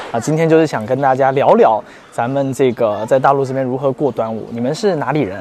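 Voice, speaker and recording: Someone speaks at a fairly quick pace with crowd noise in the background. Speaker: travel video host. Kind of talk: casual interview; presenting to camera.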